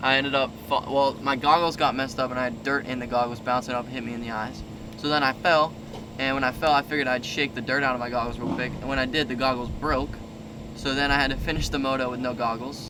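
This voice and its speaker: Over noticeable background noise, a man speaks very fast in a monotone, flat intonation. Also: medium pitch for a man. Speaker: motocross racer and vlogger. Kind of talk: casual vlog talk. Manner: quiet.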